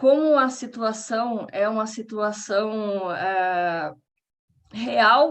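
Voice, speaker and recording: The voice carries a Paraná accent with ordinary pitch variation. Its pace is very slow. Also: woman. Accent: Paraná Brazilian Portuguese. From Brazil, Paraná. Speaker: researcher giving a lecture. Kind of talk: lecture.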